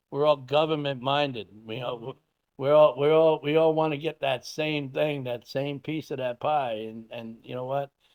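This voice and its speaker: A man talks at a moderate pace. His voice sits fairly high and his intonation stays fairly even. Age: 60s. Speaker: farmer and animal rescuer. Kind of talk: interview. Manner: halting.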